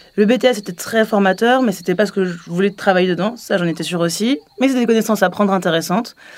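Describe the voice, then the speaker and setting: A woman's medium-pitched voice at a very fast pace, with ordinary pitch variation and hardly any pauses. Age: 20s. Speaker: MBA student. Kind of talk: testimony.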